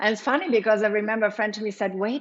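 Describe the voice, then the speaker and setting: Her fairly high voice, with a German accent, keeps a fairly even intonation. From Germany. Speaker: yoga teacher and studio owner. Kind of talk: interview.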